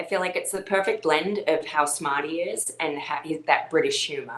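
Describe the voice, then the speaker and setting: A woman speaks at a moderate pace while noticeable background noise is present. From Australia. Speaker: ballroom dance champion and coach. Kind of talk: interview conversation.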